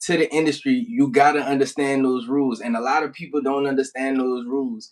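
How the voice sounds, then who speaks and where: In a New Orleans accent, a man talks at a fairly quick pace with a fairly high pitch. His intonation is lively. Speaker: rap artist. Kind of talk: casual interview.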